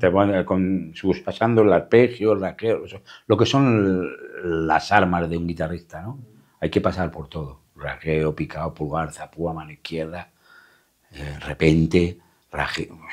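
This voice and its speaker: A man speaks at a fairly slow pace with a very deep, low pitch and ordinary pitch variation. His loudness swings widely against a quiet background. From Madrid, Spain (Caño Roto, Gitano community); Madrid. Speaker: flamenco guitarist; interviewee. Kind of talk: interview; interview answer. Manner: halting, repeating words. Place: studio.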